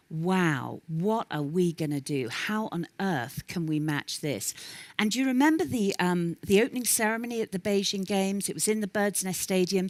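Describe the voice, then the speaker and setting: With a London accent, a woman speaks at a moderate pace and medium pitch, her intonation lively and the sound dry and close with no echo. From London, England. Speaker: professional speaker. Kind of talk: keynote talk. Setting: stage with audience.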